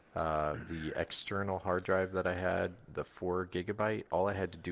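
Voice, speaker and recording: Over a quiet background, the voice moves at a moderate pace with fairly even intonation. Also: man. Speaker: podcast co-host. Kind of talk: casual chat. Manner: loud; halting.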